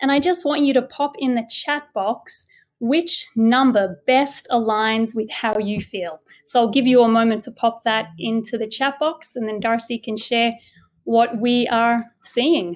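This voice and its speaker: Speaking at a fairly slow pace in an Australian accent, a woman with a fairly high voice shows ordinary pitch variation. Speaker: education consultant, former teacher. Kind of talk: webinar presentation.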